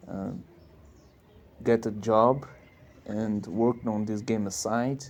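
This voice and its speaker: Spoken at a very slow pace in a non-native accent, the delivery is monotone and flat. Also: man, medium pitch for a man. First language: not English. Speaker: indie game developer. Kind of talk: casual monologue. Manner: halting.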